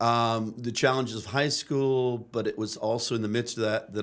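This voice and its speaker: A man with a Canadian accent and a normal speaking voice, medium in pitch, at a fairly quick pace with fairly even intonation, in a very clean recording with a silent background. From Canada, Chatham, Ontario (English immigrant household). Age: 60s. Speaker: pastor turned missionary teacher. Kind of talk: podcast interview.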